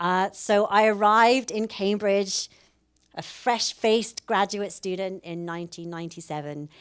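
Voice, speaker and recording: Speaking at a moderate pace with a British accent, a woman holds a medium pitch with ordinary pitch variation while her loudness swings widely. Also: very clean recording, silent background. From UK. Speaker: professor. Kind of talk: public lecture.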